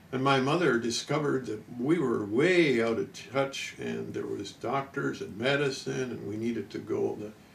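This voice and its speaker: A man at a moderate pace with hardly any pauses, noticeable background noise behind him. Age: 70s. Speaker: health researcher and product inventor. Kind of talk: interview. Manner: halting, frequent uh.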